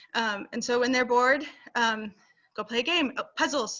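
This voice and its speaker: A woman speaks fairly quickly in a high pitch. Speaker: homeschooling parent presenter. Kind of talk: casual online presentation. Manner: fast; animated.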